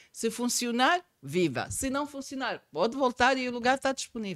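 A plain, everyday voice from a woman, fairly high in pitch, at a moderate pace. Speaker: accountant and tax trainer. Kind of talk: podcast interview.

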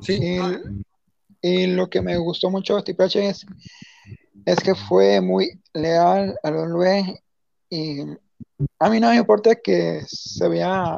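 A man talks at a very slow pace. Long pauses come often. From Mexico. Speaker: wrestling fan commentator. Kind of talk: casual chat.

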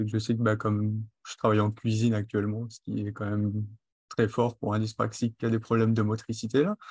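Against a quiet background, a somewhat breathy voice talks at a fairly quick pace with monotone, flat intonation and big swings in loudness, in a dry, close recording with no echo. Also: man, fairly low pitch for a man. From western France (Charente-Maritime, then Marne). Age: 20s. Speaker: cook with dyspraxia. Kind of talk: interview. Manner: articulate.

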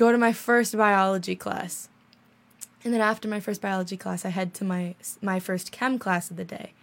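A woman speaks at a moderate pace at medium pitch, in an ordinary speaking voice. The recording is very clean with a silent background. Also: fairly even intonation. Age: young. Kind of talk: casual chat. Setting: studio.

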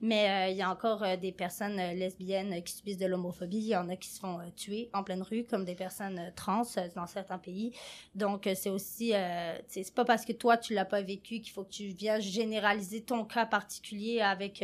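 On a very clean recording with a silent background, a woman at a medium pitch talks at a moderate pace in a monotone, flat intonation, with big swings in loudness. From France. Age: 20s. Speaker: podcast co-host, youth organization staff. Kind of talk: casual discussion.

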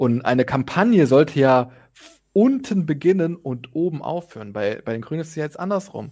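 A man's fairly high voice with a dark, mellow tone at a moderate pace. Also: lively intonation. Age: young. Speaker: podcast co-host, civil servant. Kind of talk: casual political discussion.

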